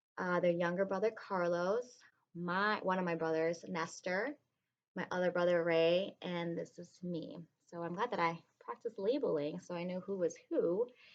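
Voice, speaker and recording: Spoken with a Spanish accent, the voice carries ordinary pitch variation. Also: woman, fairly low pitch for a woman, moderate pace. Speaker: kindergarten teacher. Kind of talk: reading aloud to children. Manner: casual, hesitant with many ums.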